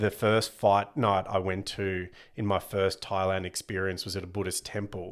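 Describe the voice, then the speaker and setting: A man with an Australian accent, fairly low-pitched and monotone in flat intonation, on a very clean recording with a silent background. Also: moderate pace. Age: 30s. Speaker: comedian and former pro MMA fighter. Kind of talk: casual chat.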